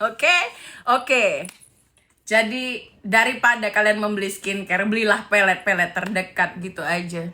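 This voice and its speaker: The tone is animated, with ordinary pitch variation. The pace is moderate. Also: woman, medium pitch for a woman. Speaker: live streamer commenting on celebrity gossip. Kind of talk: casual live stream chat.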